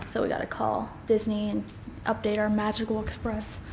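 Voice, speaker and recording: Light background noise can be heard as a woman speaks. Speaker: family vlogger. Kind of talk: casual vlog chat. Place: home room. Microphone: phone near.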